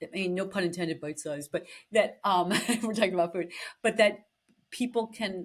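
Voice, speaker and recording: Speaking with an American accent, a woman has an unremarkable speaking voice, pitched fairly low with ordinary pitch variation. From Boston. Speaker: podcast host. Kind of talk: interview conversation.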